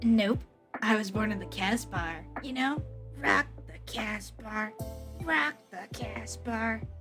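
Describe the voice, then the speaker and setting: Put-on character voice at a fairly slow pace, with faint music in the background. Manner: dramatic, silly.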